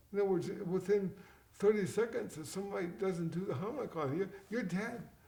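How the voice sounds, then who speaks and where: With noticeable background noise behind him, a man with a high pitch and ordinary pitch variation talks at a fairly quick pace. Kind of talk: interview. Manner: halting, repeats words.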